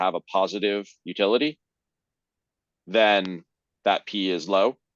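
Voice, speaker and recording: A man's fairly low voice at a moderate pace, fairly even in intonation, with a dry, close sound, no echo and a quiet background. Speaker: presenter of a research paper. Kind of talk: technical paper presentation with Q&A. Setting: video call.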